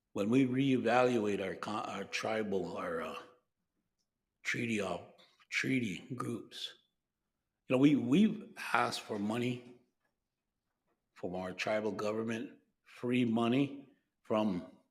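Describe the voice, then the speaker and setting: At a very slow pace with long, frequent pauses, a man with an American accent speaks at a medium pitch with ordinary pitch variation, and room echo is audible. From Lakota, Great Plains US. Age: 70s. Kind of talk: conference speech. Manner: halting, with repetitions.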